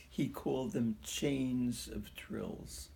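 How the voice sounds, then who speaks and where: The man's tone is dark and mellow. There is a somewhat breathy quality to it. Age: 90s. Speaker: pianist. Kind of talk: interview.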